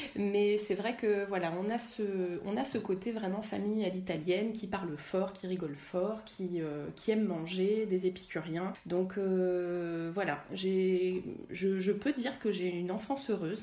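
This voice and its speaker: A woman's medium-pitched voice at a fairly slow pace, with audible room echo and noticeable background noise. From Paris suburbs, France. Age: 30s. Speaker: energy healer and workshop leader. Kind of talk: interview. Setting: home kitchen. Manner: animated.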